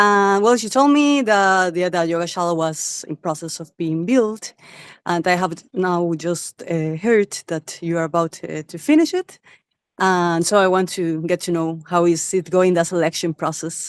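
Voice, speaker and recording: A woman with a Spanish accent at a fairly slow pace. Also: fairly low pitch for a woman, ordinary pitch variation. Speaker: wellness specialist, attendee. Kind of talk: question on video call.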